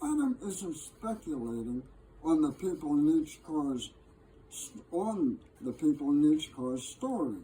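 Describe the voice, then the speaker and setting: Lively intonation runs through the speech. Its pace is fairly slow. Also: man. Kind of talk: poetry reading. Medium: solo performance. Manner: measured, gently wry.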